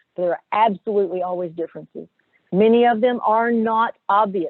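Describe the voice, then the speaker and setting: A woman's fairly high voice with a Southern US accent. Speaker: corporate HR director, webinar presenter. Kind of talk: webinar presentation. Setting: video webinar.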